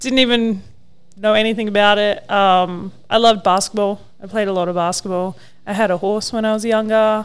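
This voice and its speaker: A woman speaks fairly quickly at a medium pitch in an Australian accent. Her intonation is flat and monotone. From Australia, Mildura (rural Victoria). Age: 30s. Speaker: professional wakeboarder. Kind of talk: casual chat.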